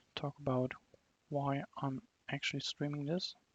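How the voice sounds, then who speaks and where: This voice carries a non-native accent. It moves along at a moderate speed. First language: not English. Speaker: game developer streaming own fan game. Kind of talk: gameplay commentary. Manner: casual, filler-heavy.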